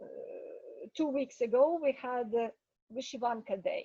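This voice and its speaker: A woman speaks with a Ukrainian accent. Her pitch variation is ordinary. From Ukraine. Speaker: English teacher. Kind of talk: casual talk to students in online meeting.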